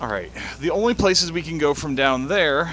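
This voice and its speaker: Noticeable background noise accompanies a man who speaks at a moderate pace with lively intonation. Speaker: gaming video creator. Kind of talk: let's play commentary. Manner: quiet.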